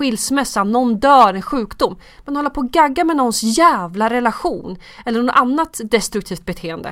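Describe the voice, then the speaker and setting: On a very clean recording with a silent background, a woman speaks at a moderate pace, her high pitch moving in lively intonation. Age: 30s. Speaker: skincare expert and TV casting worker. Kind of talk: casual chat.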